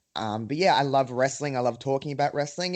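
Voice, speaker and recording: A man speaks with an Australian accent. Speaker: wrestling podcaster. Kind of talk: casual chat.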